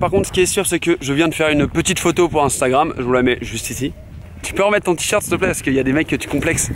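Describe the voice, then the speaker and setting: With noticeable background noise, a man speaks very fast. His tone is animated and his intonation lively. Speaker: vlogger. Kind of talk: vlog to camera. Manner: casual, animated.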